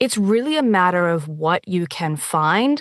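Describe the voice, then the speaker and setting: A woman's fairly low-pitched, normal speaking voice at a moderate pace over a quiet background. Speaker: audiobook narrator and dialect coach. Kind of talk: interview answer.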